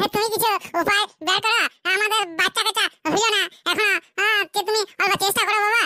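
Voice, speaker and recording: In a cartoonish character voice, a woman speaks at an extremely high pitch and a fairly quick pace, her intonation monotone and flat and her loudness very even. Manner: hesitant, stammering with "aah".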